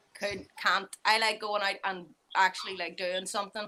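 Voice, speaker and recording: Here a woman talks in a Northern Irish accent at a moderate pace. Her tone is bright and sharp, her intonation monotone and flat. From Northern Ireland. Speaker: animal keeper. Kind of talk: casual chat.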